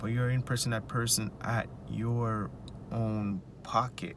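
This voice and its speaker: At a medium pitch, a man speaks with a Jamaican accent. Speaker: finance vlogger. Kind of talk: casual advice monologue.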